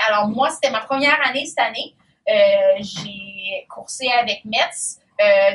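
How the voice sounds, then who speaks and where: A woman's fairly high-pitched voice with a Quebec accent. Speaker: triathlete. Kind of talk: casual talk to young athletes. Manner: halting, many fillers.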